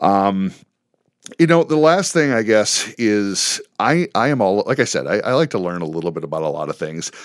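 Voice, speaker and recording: A man speaks at a moderate pace and medium pitch, his pitch swinging very widely. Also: very clean recording, silent background. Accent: American. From Chicago suburbs, Illinois. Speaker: teacher and coach. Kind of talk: interview.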